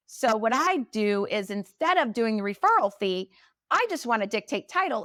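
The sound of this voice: Speaking with lively intonation, a woman has a fairly high pitch and a fairly bright tone.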